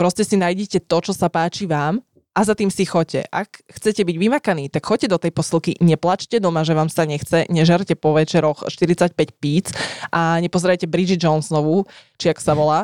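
A woman with an unremarkable speaking voice talks at a moderate pace and a fairly low pitch, with fairly even intonation and very even loudness, in a dry, close sound with no echo. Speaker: podcast co-host. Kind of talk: casual chat.

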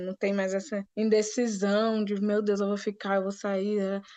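A woman's fairly high-pitched voice with a dark, mellow tone. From Brazil, Rio de Janeiro, grew up moving (Natal, Brasília). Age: 20s. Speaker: business analyst, recent graduate. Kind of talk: casual interview.

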